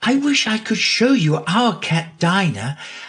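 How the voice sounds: Natural reading voice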